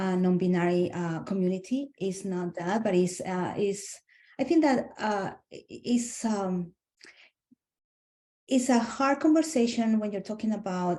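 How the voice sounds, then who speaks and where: A woman with a Spanish accent speaks at medium pitch and a fairly slow pace, with lively intonation and long, frequent pauses. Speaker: SLP webinar participant. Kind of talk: group discussion. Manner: halting.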